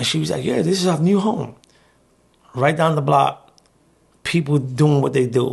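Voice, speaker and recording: Speaking in a New York accent, a man sounds somewhat breathy and talks at a fairly slow pace with ordinary pitch variation. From New York, South Bronx. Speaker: formerly incarcerated journalist. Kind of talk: interview storytelling.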